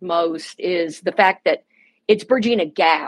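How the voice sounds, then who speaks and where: With an American accent, an unremarkable speaking voice comes through in a dry, close sound with no echo and ordinary pitch variation. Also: woman. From US. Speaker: organization CEO guest. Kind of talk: interview.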